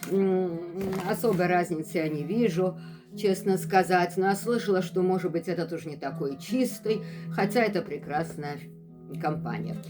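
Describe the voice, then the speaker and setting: A woman's fairly low voice at a moderate pace, with ordinary pitch variation, long, frequent pauses, and music in the background. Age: 60s. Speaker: health vlogger. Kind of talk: casual vlog talk.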